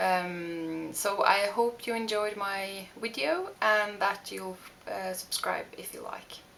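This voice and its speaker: A woman speaks with a Norwegian accent. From Norway. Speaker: beauty vlogger. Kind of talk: makeup tutorial. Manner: halting, many fillers.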